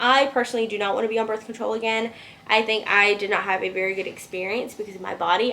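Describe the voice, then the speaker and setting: Her voice is fairly high for a woman, and she talks at a fairly quick pace. Noticeable background noise runs underneath. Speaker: vlogger. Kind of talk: casual chat. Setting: at home. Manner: fast.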